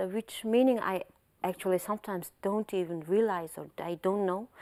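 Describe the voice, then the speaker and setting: Speaking with a Mongolian accent at a moderate pace, a woman has a dark, mellow tone, medium pitch and fairly even intonation, the sound dry and close with no echo. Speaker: translator. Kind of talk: interview.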